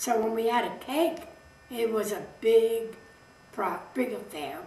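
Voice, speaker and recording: A woman's fairly high, lively voice in an American accent, with audible room echo and noticeable background noise. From New York City (Brooklyn). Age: 90s. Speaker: interviewee recounting family history. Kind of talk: oral history interview. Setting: home interview filmed by her son.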